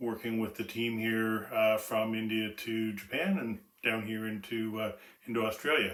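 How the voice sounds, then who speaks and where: A man talks at a moderate pace in a medium pitch, with a Canadian accent. It is an unremarkable speaking voice. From Canada, Toronto area. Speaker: business executive. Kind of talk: self-introduction presentation. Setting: outdoors on home deck.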